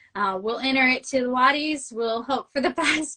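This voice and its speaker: A woman with a Midwestern American accent speaks at a fairly slow pace with ordinary pitch variation. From US Midwest. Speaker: novelist. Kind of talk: casual interview chat. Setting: live video stream.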